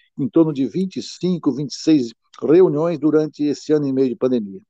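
A man talks at a fairly high pitch with a dark, mellow tone. His pitch varies in an ordinary way over a quiet background. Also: dry, close sound with no echo. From Brazil, Piauí (Northeast). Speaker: freemason, president of a masonic letters academy. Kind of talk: interview about freemasonry administration. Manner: hesitant, many filler sounds.

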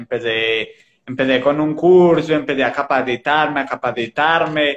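With a normal speaking voice, a man talks at a fairly slow pace and ordinary pitch variation. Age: 20s. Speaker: digital marketing entrepreneur. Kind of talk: casual chat. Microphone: old phone camera, poor resolution.

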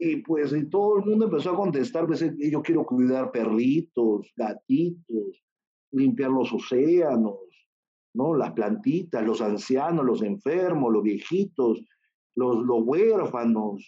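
A man's fairly high voice at a very slow pace, with very wide pitch swings. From Peru. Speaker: surgeon and charity founder. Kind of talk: interview.

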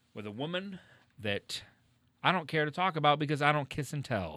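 Pitch variation is ordinary. The recording is very clean, with a silent background. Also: man. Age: 30s. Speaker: podcast co-host. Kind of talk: casual chat; merch and event plugs. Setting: live-streamed show.

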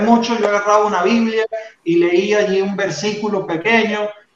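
The speaker is a man. His voice is high-pitched. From Venezuela. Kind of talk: faith testimony in interview.

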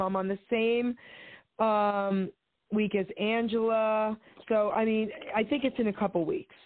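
Speaking in an unremarkable speaking voice, a woman talks fairly slowly at a fairly high pitch with fairly even intonation. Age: 60s. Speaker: caller. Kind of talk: casual chat. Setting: phone call. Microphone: static on the line.

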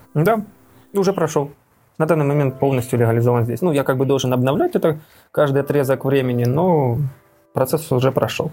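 A man speaks in a fairly high voice with a dark, mellow tone, somewhat breathy, his loudness very even and his pitch varying in an ordinary way, with long pauses coming often. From Donetsk, eastern Ukraine. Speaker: emigrant, former factory director. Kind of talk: interview.

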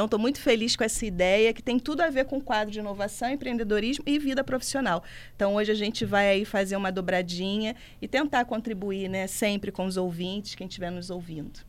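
A woman with an ordinary speaking voice talks at a fairly quick pace and medium pitch, with ordinary pitch variation. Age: 40s. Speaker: career commentator. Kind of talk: radio talk show. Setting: studio.

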